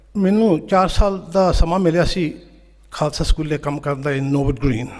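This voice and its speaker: The man uses a normal speaking voice with a fairly high pitch. His pitch variation is ordinary. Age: 60s. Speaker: teacher and conference speaker. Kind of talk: conference speech.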